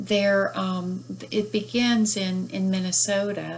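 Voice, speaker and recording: The speaker is a woman with a Southern US accent. She talks very slowly. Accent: Southern US, despite northern origin. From northern US. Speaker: book reviewer and author. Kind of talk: book review. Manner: hesitant, many fillers.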